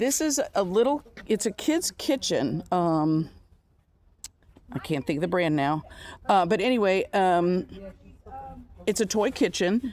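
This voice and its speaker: At a fairly slow pace, a woman with a medium pitch makes very wide pitch swings and long, frequent pauses while keeping her loudness very even. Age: 60s. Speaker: van camper. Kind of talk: casual chat.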